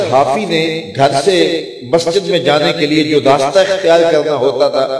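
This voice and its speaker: High pitch and ordinary pitch variation in a man's voice. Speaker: Islamic preacher giving a religious lecture. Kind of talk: religious sermon telling a devotional story.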